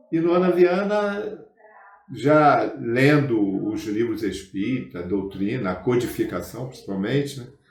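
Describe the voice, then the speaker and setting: A man speaks, and audible room echo follows his words. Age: 70s. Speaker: spiritist movement veteran. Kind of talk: interview. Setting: spiritist center.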